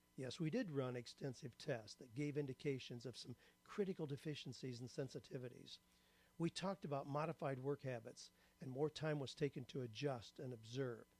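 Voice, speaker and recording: The sound is dry and close with no echo as a man with a fairly high, somewhat breathy voice talks at a fairly quick pace with ordinary pitch variation. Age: 70s. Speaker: writer and career coach. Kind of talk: testimonial. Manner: scripted, measured delivery.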